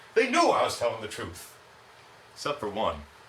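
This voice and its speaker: Fairly quick male speech with audible room echo and noticeable background noise. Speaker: comedy show contestant. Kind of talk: stand-up.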